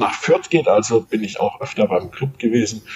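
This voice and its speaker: A man talks at a moderate speed while noticeable noise sounds in the background. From Munich, Bavaria. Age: 50s. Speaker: sports journalist and author. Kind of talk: interview. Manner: halting, frequent repetitions.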